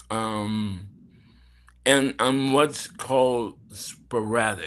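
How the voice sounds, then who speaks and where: With an American accent, a man at medium pitch speaks at a very slow pace with fairly even intonation. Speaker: actor. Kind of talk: interview. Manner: slow, halting.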